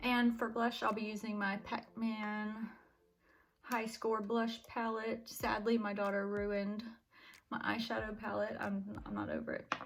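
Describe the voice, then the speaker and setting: Somewhat breathy and fairly high-pitched, a woman speaks at a fairly slow pace in a monotone, flat intonation. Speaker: beauty vlogger. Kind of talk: makeup tutorial. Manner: casual, chatty.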